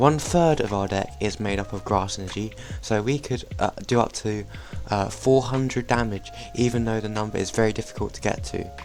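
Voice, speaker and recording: Fairly quick, lively speech with a British accent over noticeable background noise. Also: man, fairly low pitch for a man. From Britain. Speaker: trading card game YouTuber. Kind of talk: gameplay commentary; deck overview tutorial. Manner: casual, some filler words.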